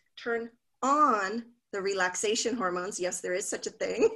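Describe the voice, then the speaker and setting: A woman speaks at a fairly slow pace in a bright, sharp tone over a quiet background. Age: 50s. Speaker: happiness coach. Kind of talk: casual interview.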